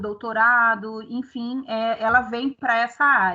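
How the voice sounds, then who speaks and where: A woman speaks at a high pitch with a bright, sharp tone against a quiet background. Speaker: professor. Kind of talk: online workshop lecture.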